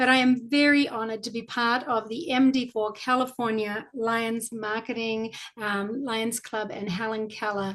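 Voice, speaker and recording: A woman with a New Zealand accent, fairly slow in pace and fairly even in intonation. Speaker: club volunteer presenter. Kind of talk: virtual presentation.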